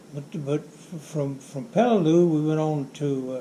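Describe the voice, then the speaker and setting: A man speaks at a very slow pace with fairly even intonation. His voice is somewhat breathy, with a dark, mellow tone. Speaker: WWII Marine veteran. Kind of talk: interview answer.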